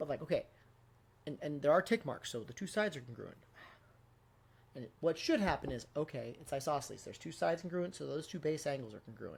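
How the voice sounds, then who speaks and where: Speaking at a very fast pace yet with long, frequent pauses, a man with a fairly high, somewhat breathy voice swings widely in loudness. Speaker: math teacher. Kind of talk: tutorial. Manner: casual, conversational.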